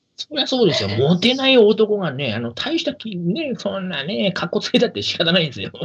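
Background noise is noticeable throughout. The pace is fairly quick with hardly any pauses, and the pitch swings very widely. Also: man, high pitch for a man. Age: 30s. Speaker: podcast host. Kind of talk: casual chat.

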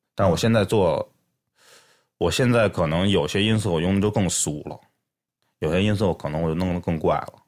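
In a very clean recording with a silent background, a man with a very deep, low pitch and a slight Beijing accent speaks at a fairly quick pace with ordinary pitch variation and long, frequent pauses. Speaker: music producer. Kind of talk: casual chat. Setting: studio.

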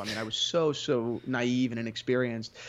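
A man's medium-pitched speech comes at a fairly quick pace, its pitch varying in an ordinary way. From US Northeast, New Jersey. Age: 20s. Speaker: entrepreneur, watch dealer. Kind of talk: interview. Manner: halting, many repetitions and fillers.

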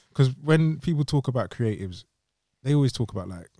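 Dry and close with no echo, this very clean recording on a silent background captures a man with a dark, mellow tone, somewhat breathy delivery, lively intonation and a fairly quick pace. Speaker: podcast host. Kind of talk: casual interview chat. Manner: animated, casual.

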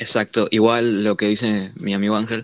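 This man speaks with a monotone, flat intonation. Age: 20s. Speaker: student. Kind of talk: casual chat. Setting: video call.

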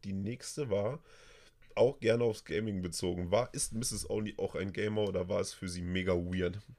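Very cleanly recorded against a silent background, a man talks at a moderate pace with a fairly low pitch. His tone is dark and mellow, with ordinary pitch variation. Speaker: streamer and podcast host. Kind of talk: casual chat. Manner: animated.

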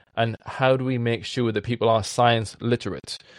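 A man with a Welsh accent, medium pitch and fairly even intonation at a moderate pace, in a very clean recording with a silent background and a dry, close sound with no echo. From South Wales. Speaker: science communicator and trail runner. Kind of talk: interview conversation.

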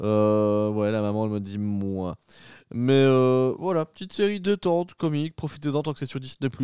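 A man's dark, mellow voice, with lively intonation and long, frequent pauses, comes through a dry, close sound with no echo. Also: medium pitch for a man. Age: 30s. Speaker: podcast host. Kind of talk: casual chat. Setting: at home, doors open.

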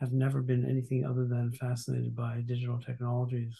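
In a Canadian accent, a man speaks at medium pitch with a dark, mellow tone, somewhat breathy and monotone, with flat intonation. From Montreal, Canada. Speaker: university president and author. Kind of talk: interview. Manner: halting.

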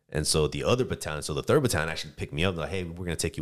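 A man's fry-laden voice at a very fast clip. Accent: American. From San Diego, California. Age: 30s. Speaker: soldier. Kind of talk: casual chat.

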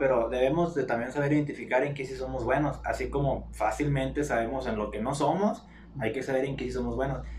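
There is audible room echo and noticeable background noise as a man speaks at medium pitch. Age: 20s. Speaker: personal trainer and music student. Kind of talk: casual chat.

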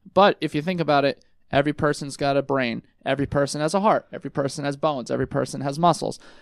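Very fast speech with fairly even intonation comes through a very clean recording, silent background, and a dry, close sound with no echo. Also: man, fairly high pitch for a man. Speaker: physical therapist. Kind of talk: casual interview chat. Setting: radio studio. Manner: loud talker.

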